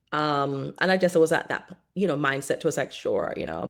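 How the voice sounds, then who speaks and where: With vocal fry and a very deep, low pitch, a woman speaks at a moderate pace and fairly even intonation on a very clean recording with a silent background. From Caribbean (Montserrat). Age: 40s. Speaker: content creator. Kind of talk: casual chat. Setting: podcast interview.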